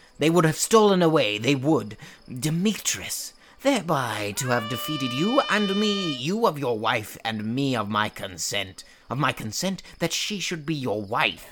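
This man's voice sits fairly high in pitch and makes very wide pitch swings. He keeps a moderate pace. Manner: indignant, insistent.

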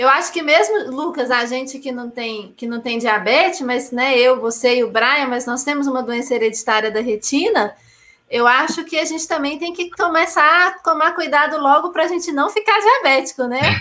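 Her raised, projected voice is high-pitched, with lively intonation. The woman speaks with hardly any pauses. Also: moderate pace. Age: 30s. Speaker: live stream host. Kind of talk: hosting live stream.

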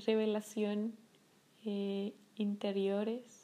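A woman with a French accent talks at a very slow pace, her pitch fairly high. Her intonation is monotone and flat, and her tone is dark and mellow. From France, Paris. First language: French (speaking Spanish). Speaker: podcast host, meditation guide. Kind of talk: casual monologue. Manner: hesitant, many fillers.

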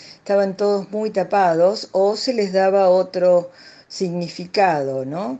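A woman speaks at a very slow pace with medium pitch. Her tone is dark and mellow. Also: ordinary pitch variation. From Argentina, Buenos Aires province. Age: 70s. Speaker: retired psychologist. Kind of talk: interview. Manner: halting, many fillers.

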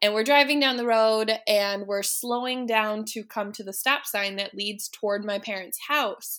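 Barely pausing, a woman with a fairly high pitch and a bright, sharp tone keeps her intonation fairly even. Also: moderate pace, very clean recording, silent background. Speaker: podcast co-host guest. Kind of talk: casual chat.

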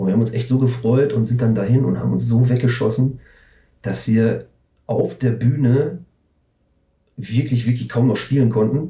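A man with a dark, mellow tone and vocal fry speaks at a medium pitch and moderate pace, his intonation fairly even, with long, frequent pauses. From Ruhr area, Germany (Recklinghausen). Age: 40s. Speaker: punk/metal band musician. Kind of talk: casual chat.

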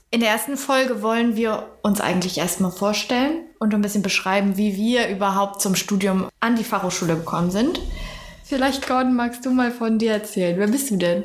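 Through noticeable background noise and audible room echo, a woman speaks at a fairly high pitch with ordinary pitch variation and very even loudness. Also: moderate pace. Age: 20s. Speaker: university student. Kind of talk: casual chat.

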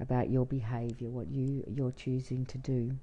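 With an Australian accent, this woman talks at a very deep, low pitch. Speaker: traveller. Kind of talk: interview conversation.

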